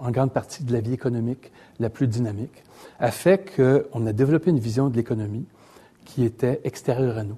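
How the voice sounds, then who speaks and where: A man talks at a moderate pace in a dark, mellow, somewhat breathy tone with ordinary pitch variation. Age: 60s. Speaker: economist and newspaper columnist. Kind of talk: lecture. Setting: stage with audience.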